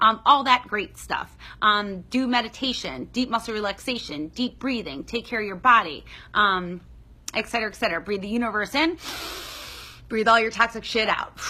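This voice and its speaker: A woman speaks at a moderate pace with lively intonation. Her voice is fairly high, with a bright, sharp tone. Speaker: psychologist. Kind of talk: livestream Q&A advice. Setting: livestream. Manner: animated.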